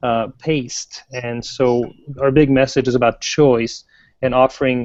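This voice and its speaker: With a French Canadian accent, a man at medium pitch talks in fairly even intonation, the sound dry and close with no echo. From French Canada. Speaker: software product manager. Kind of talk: interview.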